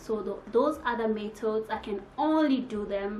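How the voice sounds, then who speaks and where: A woman speaks at a very slow pace in a fairly high pitch, with audible room echo and noticeable background noise. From DR Congo. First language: French or Congolese languages. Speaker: YouTuber. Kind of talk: casual vlog talk to camera.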